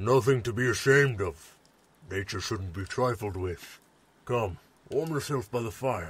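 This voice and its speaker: Using a put-on character voice, a man speaks at a moderate pace and medium pitch. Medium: audio drama. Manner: calm, formal.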